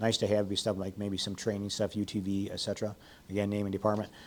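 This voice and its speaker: A man with an American accent, fairly low in pitch, in a monotone, flat delivery. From Illinois. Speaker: retired fire chief teaching grant writing. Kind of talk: workshop presentation. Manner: fast.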